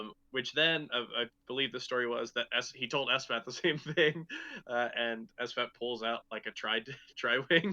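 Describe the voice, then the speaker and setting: Recorded with a dry, close sound and no echo, a man speaks in a bright, sharp tone. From US Midwest, Chicago. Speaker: podcast host, tournament organizer. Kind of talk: casual chat.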